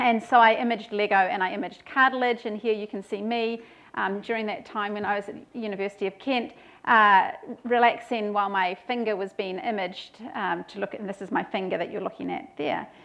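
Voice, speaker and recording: A woman with a New Zealand accent speaks at a fairly quick pace and a fairly high pitch. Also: ordinary pitch variation. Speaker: professor. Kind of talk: lecture. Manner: hesitant with fillers.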